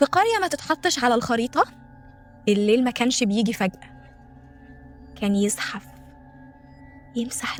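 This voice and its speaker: With music in the background, a woman speaks at a moderate pace. She has an Egyptian accent and a fairly high pitch. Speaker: voice-over narrator. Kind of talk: folk horror story narration.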